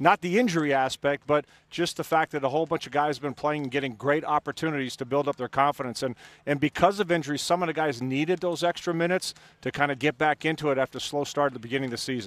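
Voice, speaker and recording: In an American accent, a man talks at a very fast pace and a fairly high pitch with ordinary pitch variation, in a dry, close sound with no echo. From Syracuse, New York. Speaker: basketball broadcaster/analyst. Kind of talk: casual chat, sports analysis.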